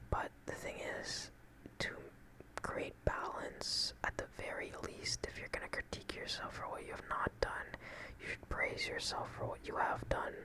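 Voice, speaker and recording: A man is whispering at a moderate pace. Noticeable background noise runs underneath. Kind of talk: ASMR relaxation and affirmation talk to camera. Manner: soft-spoken, calming.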